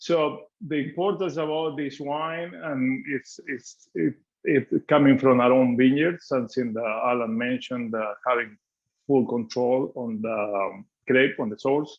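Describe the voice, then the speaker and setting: A man speaks with an Argentine accent at a fairly slow pace. His pitch is medium, with ordinary pitch variation. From Argentina (Mendoza). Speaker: winemaker. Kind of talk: guided wine tasting presentation. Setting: video call.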